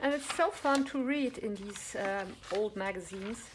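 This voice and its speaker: Very slowly and with ordinary pitch variation, a woman talks as noticeable background noise plays behind her. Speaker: crafts vlogger and online shop owner. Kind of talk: show-and-tell haul video. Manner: enthusiastic.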